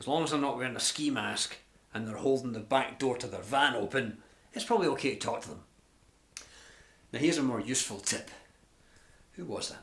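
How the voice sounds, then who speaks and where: A man with a Glasgow accent talks at a fairly quick pace with medium pitch and ordinary pitch variation. Long, frequent pauses and big swings in loudness stand out, with audible room echo. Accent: Scottish (Glasgow). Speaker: life and business coach. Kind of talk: tutorial. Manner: fast; animated.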